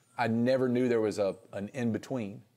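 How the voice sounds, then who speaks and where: A dark, mellow tone in a Southern US accent, with monotone, flat intonation. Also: man. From North Carolina (Reidsville). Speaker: singer-songwriter. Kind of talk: casual interview.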